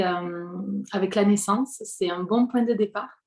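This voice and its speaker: Very slowly, a woman speaks at a medium pitch with ordinary pitch variation and a dark, mellow tone. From southwestern France, Hautes-Pyrénées. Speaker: prenatal singing practitioner. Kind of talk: interview. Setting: home living room. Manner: hesitant, many fillers.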